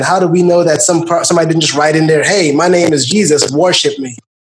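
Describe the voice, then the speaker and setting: Pitched high, a man races along at a very fast pace with ordinary pitch variation and audible room echo. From Guyana. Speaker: podcast host. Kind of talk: casual chat.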